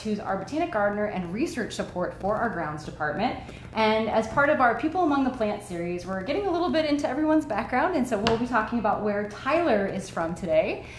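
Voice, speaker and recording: With an American accent, a woman talks very fast with hardly any pauses, her fairly high pitch swinging very widely. Noticeable background noise is present. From Florida. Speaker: education specialist. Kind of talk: live stream host.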